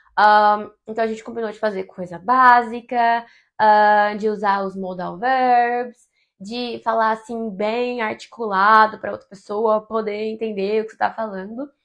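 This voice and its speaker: In a Brazilian accent, a woman speaks fairly slowly in a fairly high, monotone voice with flat intonation and big swings in loudness. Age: 20s. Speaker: travel content creator. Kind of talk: casual talk to camera.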